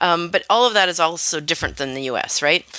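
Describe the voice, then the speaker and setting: In a Canadian accent, a woman with a fairly low, bright, sharp voice talks at a very fast pace with ordinary pitch variation. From Canada. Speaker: linguistics professor. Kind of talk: radio interview. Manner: hesitant, many fillers.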